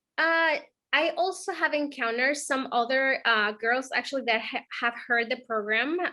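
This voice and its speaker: A woman's raised, projected voice, high-pitched with a bright, sharp tone, at a moderate pace with ordinary pitch variation and very even loudness. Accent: non-native. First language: not English. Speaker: program mentee, bank employee. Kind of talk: interview. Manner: halting, many fillers.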